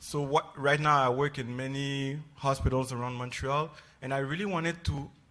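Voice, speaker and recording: A man with a French accent speaks at a moderate pace, his fairly high pitch held in fairly even intonation. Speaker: psychiatry resident. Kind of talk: panel introduction. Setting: stage with audience.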